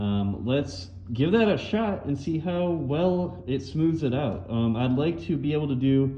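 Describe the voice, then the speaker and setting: At a fairly slow pace, a man speaks in a fairly high pitch with very wide pitch swings. Noticeable background noise and audible room echo fill the recording. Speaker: car restoration youtuber. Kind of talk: tutorial. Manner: casual, many fillers.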